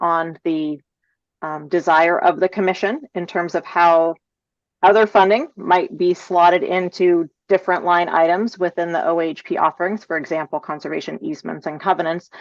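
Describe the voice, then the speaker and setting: A woman's normal speaking voice, fairly low in pitch, with fairly even intonation at a moderate pace, in a dry, close sound with no echo. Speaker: agency staff presenter. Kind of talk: public meeting presentation. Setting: video call.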